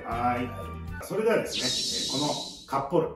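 Loud background noise and audible room echo surround a voice at a moderate pace. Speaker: comedian. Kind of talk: comedy dialect lesson show. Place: home room. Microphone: camera far.

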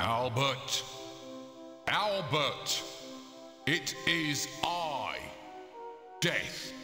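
Over clear background music, a man puts on a booming character voice at a medium pitch and speaks at a very slow pace. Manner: grand.

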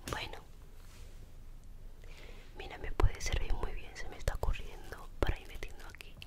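Soft-spoken and extremely high-pitched, a woman talks in a gentle, relaxed tone at a moderate pace, with ordinary pitch variation, big swings in loudness and long, frequent pauses. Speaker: ASMR creator. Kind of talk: ASMR soft spoken talk to camera. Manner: soft-spoken, gentle, relaxed. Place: home room. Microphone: studio mic.

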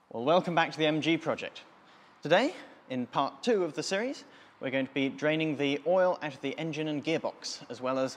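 The speech moves at a very fast pace with ordinary pitch variation. Light background noise sits underneath. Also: man. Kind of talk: tutorial. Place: garage.

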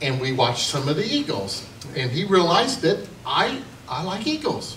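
Audible room echo and light background noise around a man at a moderate pace. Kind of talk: humorous storytelling to an audience. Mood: jovial, amused. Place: hall.

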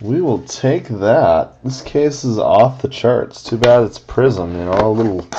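A man speaks at a fairly slow pace. Loud background noise runs underneath. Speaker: card break host. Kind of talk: live card break commentary. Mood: upbeat, pleased. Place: home room. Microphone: webcam.

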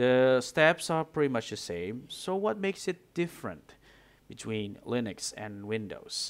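A man with a non-native accent and a medium pitch speaks at a fairly slow pace, his pitch swinging very widely. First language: not English. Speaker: gaming tutorial creator. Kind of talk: software tutorial screen-recording narration. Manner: unscripted, some mumbling, quiet.

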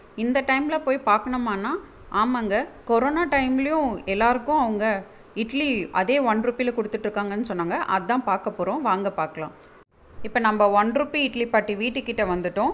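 A woman's plain, everyday voice, fairly high in pitch with ordinary pitch variation. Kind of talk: travel vlog narration.

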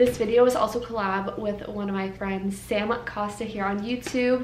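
A woman talks at a moderate pace in a monotone, flat intonation, with light background noise and audible room echo. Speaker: vlogger. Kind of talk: casual vlog chat. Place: kitchen. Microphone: camera far.

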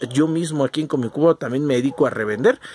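Someone speaks very fast with a Mexican accent, the sound dry and close with no echo. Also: man. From Mexico. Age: 40s. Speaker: collectibles youtuber. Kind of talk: casual monologue. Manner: halting, many fillers.

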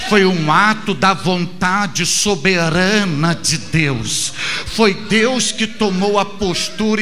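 Over light background noise, a man speaks very slowly in a high, raised and projected voice with ordinary pitch variation. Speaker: preacher. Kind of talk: sermon. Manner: emphatic, driving cadence with repeated phrases; didactic, earnest, direct address to the listener. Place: church. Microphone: handheld.

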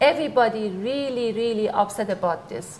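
With a Persian accent, a woman speaks at a fairly high pitch and a fairly quick pace. Light background noise can be heard. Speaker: TV show host. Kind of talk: interview. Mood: warm, admiring. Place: studio. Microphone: lapel.

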